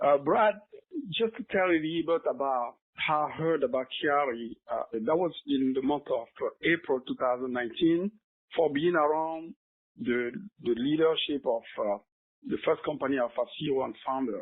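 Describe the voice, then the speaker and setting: A French accent at a moderate pace. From Cameroon. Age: 50s. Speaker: product distributor giving a testimonial. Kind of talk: testimony. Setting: phone conference call.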